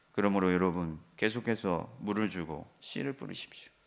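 The recording is very clean, and the background is silent. The speech moves at a moderate pace. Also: man. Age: 40s. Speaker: pastor. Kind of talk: sermon.

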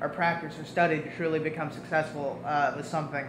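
Over noticeable background noise, a man talks at a fairly high pitch with monotone, flat intonation. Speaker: student interviewer. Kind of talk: interview. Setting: green room of a performing arts center. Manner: hesitant, many fillers. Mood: relaxed, slightly hesitant.

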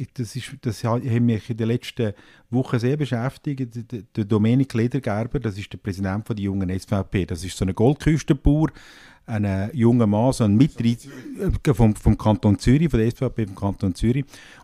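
A man's dark, mellow tone with ordinary pitch variation, dry and close with no echo, on a very clean recording with a silent background. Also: medium pitch for a man, moderate pace. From Switzerland, canton Nidwalden. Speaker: parliamentary journalist. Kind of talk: political discussion.

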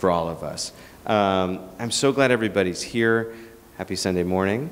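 The man's fairly low pitch shows ordinary pitch variation, and his pace is moderate. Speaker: event interviewer, host. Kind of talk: event introduction. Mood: relaxed, casual. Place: hall. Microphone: handheld.

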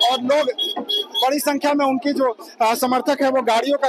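There is noticeable background noise behind this man. His sound is dry, with no echo. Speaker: TV news reporter. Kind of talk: field news report and interview questions. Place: street. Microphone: handheld.

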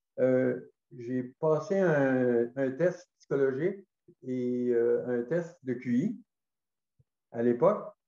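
In a room with audible echo but a quiet background, a man speaks very slowly in a dark, mellow tone, with ordinary pitch variation and long, frequent pauses. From Gaspésie, Quebec; Quebec. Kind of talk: testimony. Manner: halting. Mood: calm, reflective. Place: home room. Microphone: webcam.

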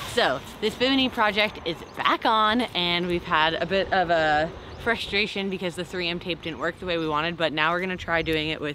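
A woman's voice with ordinary pitch variation, noticeable background noise and a dry sound with no echo. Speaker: boat life vlogger. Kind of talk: casual vlog chat. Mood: cheerful despite a frustration. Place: street. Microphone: phone near.

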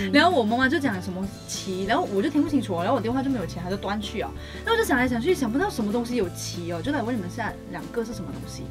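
Clear music plays in the background as a woman talks at a very fast pace. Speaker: radio host. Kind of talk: radio comedy skit. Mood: light, playful. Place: studio. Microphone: studio mic.

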